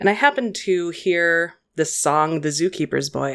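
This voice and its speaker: Heard here is a woman with an ordinary speaking voice. She has a fairly low pitch and ordinary pitch variation. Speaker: podcast co-host.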